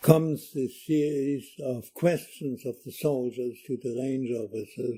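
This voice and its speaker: Speaking with a German accent, a man keeps a medium pitch and fairly even intonation. His pace is fairly slow. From Germany. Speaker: war veteran. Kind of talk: oral history interview. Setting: library.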